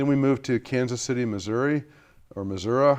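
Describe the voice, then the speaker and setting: An unremarkable speaking voice belongs to a man with an American accent. He talks at a moderate pace with ordinary pitch variation against a quiet background. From US Midwest, Bloomington, Indiana. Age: 60s. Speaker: climate scientist. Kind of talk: interview.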